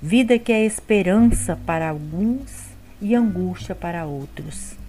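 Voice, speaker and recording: A woman's somewhat breathy voice at a very slow pace, with lively intonation. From Brazil, Espírito Santo. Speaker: bible study educator. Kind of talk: scripted narration.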